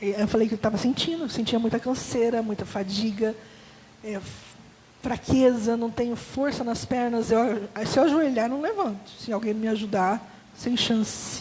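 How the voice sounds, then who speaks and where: Against noticeable background noise, a woman speaks at a fairly slow pace in a fairly high pitch with fairly even intonation. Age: 40s. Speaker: testimony giver at church. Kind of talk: testimony.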